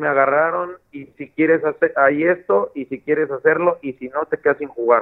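This man speaks at a moderate pace and a fairly high pitch. His intonation is fairly even. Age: 30s. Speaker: professional footballer. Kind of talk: interview. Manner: halting, many repetitions.

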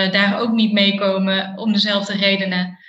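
A woman speaks in a bright, sharp tone at a fairly slow pace. Her intonation is monotone and flat, with audible room echo. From Eindhoven, Netherlands. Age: 30s. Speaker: behavioural scientist. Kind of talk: casual interview. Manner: hesitant, many fillers.

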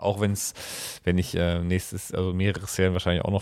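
A man's fairly low voice comes through in a very clean recording, the background completely silent. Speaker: podcast co-host. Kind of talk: casual chat. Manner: halting. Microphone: new microphone.

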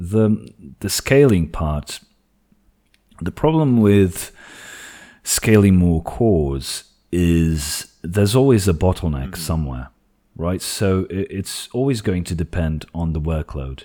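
A very deep, low male voice with a dark, mellow tone and lively intonation, very slow, with long, frequent pauses, on a very clean recording with a silent background. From Portugal. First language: Portuguese. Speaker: tech YouTuber. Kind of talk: casual tech discussion.

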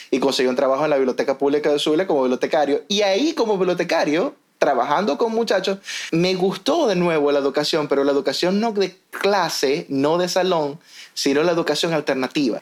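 The voice keeps a fairly quick pace with ordinary pitch variation and very even loudness. Noticeable background noise runs underneath. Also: man, fairly high pitch for a man. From Venezuela, Maracaibo. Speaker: podcast host, educator. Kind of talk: casual chat.

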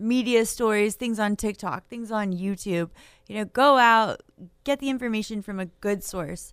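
A woman with an unremarkable speaking voice talks at a fairly slow pace in a fairly high pitch with ordinary pitch variation, on a very clean recording with a silent background. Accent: American. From Maine, US. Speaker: realtor association government affairs director. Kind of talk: radio talk show interview.

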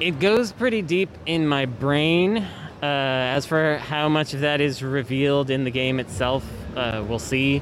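A man with a Californian accent speaks at a fairly slow pace in a fairly high voice with ordinary pitch variation, over noticeable background noise. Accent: General American (Californian). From US West Coast, San Francisco Bay Area. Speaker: video game developer. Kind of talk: interview.

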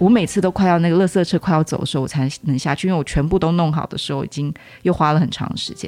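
Talking at a very fast pace over music in the background, a woman uses a fairly low pitch. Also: ordinary pitch variation. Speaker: teacher. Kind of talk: casual chat.

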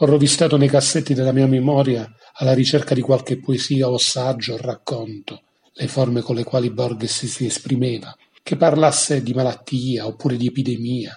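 A man speaks at a moderate pace with medium pitch and an ordinary speaking voice. His intonation stays fairly even. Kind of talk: poet reading aloud.

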